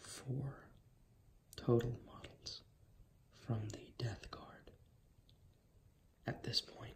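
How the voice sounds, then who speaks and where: A man's whispering at a very slow pace, in a relaxed tone. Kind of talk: ASMR ramble to camera. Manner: soft-spoken, relaxed.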